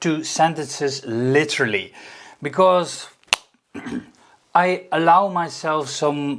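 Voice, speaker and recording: A man with a non-native accent speaks very slowly, with long, frequent pauses. His fairly high voice has ordinary pitch variation. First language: not English. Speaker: YouTube coach. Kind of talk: tutorial with raw repeated takes. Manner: halting, repeating takes.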